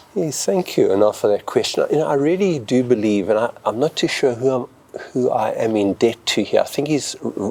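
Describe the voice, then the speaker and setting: Over noticeable background noise, a man with a medium-pitched voice talks at a fairly quick pace with lively intonation. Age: 70s. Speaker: retired pastor. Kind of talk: interview. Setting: auditorium. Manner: halting.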